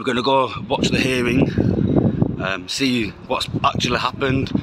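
Loud background noise runs under a man talking at a fairly slow pace. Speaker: vlogger reporting outside court. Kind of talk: casual vlog chat. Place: street. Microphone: phone near.

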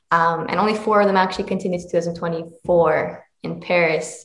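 In a Canadian accent, a woman speaks at a moderate pace with fairly even intonation, her voice echoing audibly in the room. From Canada, Mississauga, Ontario; Ontario. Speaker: karate champion; guest. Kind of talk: interview. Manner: halting, many fillers. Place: home room. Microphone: video call.

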